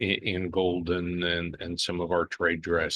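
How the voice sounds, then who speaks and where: Captured as a dry, close sound with no echo, a man speaks at a very deep, low pitch and a fairly slow pace. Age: 70s. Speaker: business executive. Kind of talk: interview. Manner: halting.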